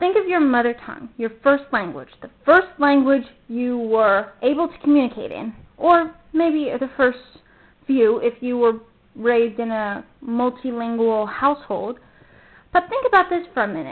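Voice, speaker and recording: A woman with a high pitch speaks with big swings in loudness. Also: moderate pace. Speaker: vlogger. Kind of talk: casual monologue. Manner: casual, rambling with fillers.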